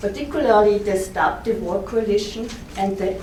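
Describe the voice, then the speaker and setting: A woman with an Austrian accent talks at medium pitch and a moderate pace, with fairly even intonation. Audible room echo and noticeable background noise are present. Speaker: historian, university academic. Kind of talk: conference talk. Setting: conference with audience.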